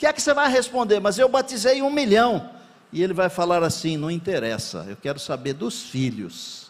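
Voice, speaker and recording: Speaking at a moderate pace, a man with a high-pitched voice makes very wide pitch swings. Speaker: pastor. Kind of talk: sermon.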